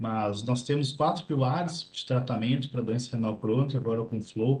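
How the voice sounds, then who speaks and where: A man's moderate-paced speech with ordinary pitch variation. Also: medium pitch for a man. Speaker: nephrologist presenting congress highlights. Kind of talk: medical lecture. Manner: clear.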